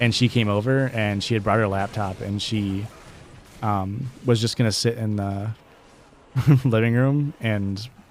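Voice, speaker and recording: A man's relaxed, fairly low voice with fairly even intonation. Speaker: streamer and podcast host. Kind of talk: casual chat. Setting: live game stream.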